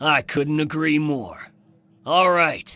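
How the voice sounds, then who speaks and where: Someone uses a put-on character voice against a quiet background. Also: man. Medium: video game. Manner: blunt, brisk.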